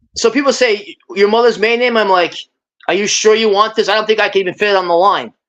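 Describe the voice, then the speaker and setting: Speaking very fast with a New York accent, a woman keeps a fairly high pitch and fairly even intonation. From US Northeast, Brooklyn, New York. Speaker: guest on a live stream. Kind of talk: casual chat.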